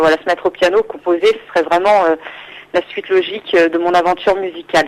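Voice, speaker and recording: At a fairly quick pace, a woman talks at a medium pitch. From Île-de-France, France. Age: 20s. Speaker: singer-songwriter. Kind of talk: radio interview. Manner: hesitant, many fillers.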